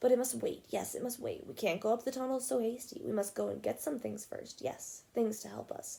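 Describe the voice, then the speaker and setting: High-pitched and hissing, a woman rattles along in a put-on character voice at a fairly quick pace with hardly any pauses. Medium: read story. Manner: hissing, repeats himself, talks to "my precious".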